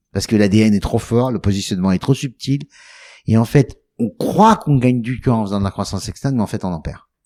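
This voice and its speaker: Recorded very cleanly against a silent background, a man's voice carries a dark, mellow tone with ordinary pitch variation. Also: medium pitch for a man, fairly quick pace. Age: 60s. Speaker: travel company founder. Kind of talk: interview. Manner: stuttering repetitions when emphatic.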